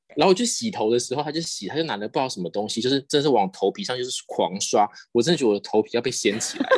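Very wide pitch swings mark a man's voice, heard with a dry, close sound with no echo. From Taiwan. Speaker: podcast guest, contestant sharing travel stories. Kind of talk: casual chat.

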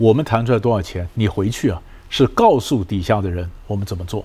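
A man speaks in a dark, mellow tone that is somewhat breathy. His pace is fairly quick. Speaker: negotiation expert and professor. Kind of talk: interview.

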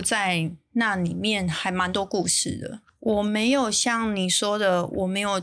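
A woman at a medium pitch talks at a very slow pace with hardly any pauses and ordinary pitch variation. The recording is very clean, with a silent background. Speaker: bakery chain founder. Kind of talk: interview. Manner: reading from notes at first, formal.

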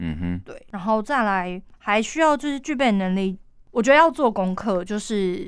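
With lively intonation, a woman speaks at a moderate pace on a very clean recording with a silent background. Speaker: event emcee. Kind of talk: interview. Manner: lively, cheerful.

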